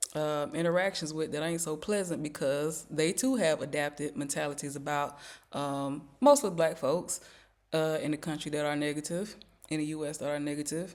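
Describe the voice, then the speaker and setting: Someone with an American accent speaks at a moderate pace on a very clean recording with a silent background. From US South. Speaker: YouTuber. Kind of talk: casual vlog commentary. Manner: conversational with many fillers.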